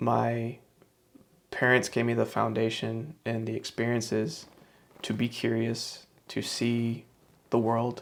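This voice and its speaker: A man with an American accent speaks at a very slow pace and medium pitch. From US South, Shreveport, Louisiana. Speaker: author and self-help vlogger. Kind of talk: personal reflection monologue. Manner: halting, with frequent fillers and repetitions.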